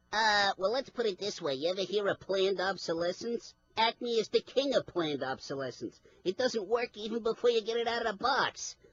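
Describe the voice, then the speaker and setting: Fairly high in pitch, a cartoonish character voice rattles along at a fairly quick pace. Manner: cocky, wisecracking.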